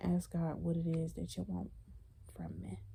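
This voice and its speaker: A woman speaks at a moderate pace. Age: 20s. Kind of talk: casual talk to camera. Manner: casual, conversational.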